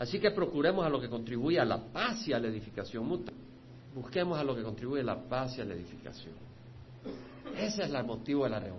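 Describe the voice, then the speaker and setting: A man speaks at a medium pitch with very wide pitch swings. His pace is very fast, and there is audible room echo. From El Salvador. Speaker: pastor. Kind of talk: sermon.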